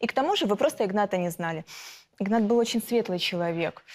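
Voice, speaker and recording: This woman talks at a fairly quick pace. Her pitch variation is ordinary. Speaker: defendant. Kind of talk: courtroom testimony. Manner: heated, confrontational. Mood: defensive, emotional. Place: studio. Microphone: lapel.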